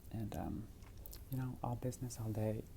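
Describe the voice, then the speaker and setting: A soft-spoken woman talks at a moderate pace with ordinary pitch variation. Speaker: ASMR roleplay performer playing a sleep clinic technologist. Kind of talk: ASMR roleplay, sleep clinic consultation. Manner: soft-spoken, casual, chatty.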